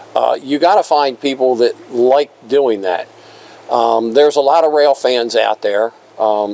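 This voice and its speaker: Noticeable background noise sits behind a man speaking at a fairly slow pace. His pitch varies in an ordinary way and his loudness stays very even. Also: medium pitch for a man. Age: 70s. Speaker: railroad museum volunteer and retired firefighter. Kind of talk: casual interview. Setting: museum restoration shop.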